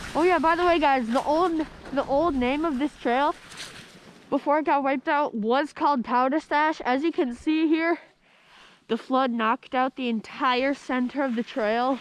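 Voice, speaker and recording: The pace is moderate. The sound is dry, with no echo. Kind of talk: casual vlog commentary. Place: open country. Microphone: helmet.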